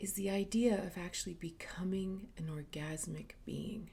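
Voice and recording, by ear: Her fairly low pitch comes with a dark, mellow tone and vocal fry as this woman speaks.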